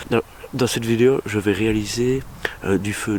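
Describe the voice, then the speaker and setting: The speaker is soft-spoken with fairly even intonation. Noticeable background noise runs underneath. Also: man. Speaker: bushcraft vlogger. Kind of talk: outdoor tutorial vlog. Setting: outdoors in a forest.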